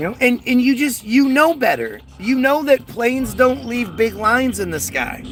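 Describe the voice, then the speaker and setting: Against noticeable background noise, a man with an American accent speaks at a moderate pace in an extremely high pitch with ordinary pitch variation. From United States. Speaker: conspiracy livestreamer. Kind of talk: casual livestream chat reading viewer comments. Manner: halting with frequent repetitions.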